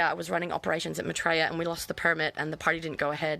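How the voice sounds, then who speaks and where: A loud voice with an Australian accent comes through with a bright, sharp tone and monotone, flat intonation in a very clean recording with a silent background. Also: woman. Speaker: vlogger. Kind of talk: personal testimony live stream. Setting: outdoors in backyard.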